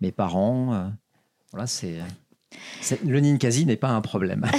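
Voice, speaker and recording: A man speaks very slowly in a dark, mellow tone with ordinary pitch variation. The recording is very clean, the background silent. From France, Ardèche plateau. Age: 50s. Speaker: brewery founder, entrepreneur. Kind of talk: interview. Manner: halting, many repetitions.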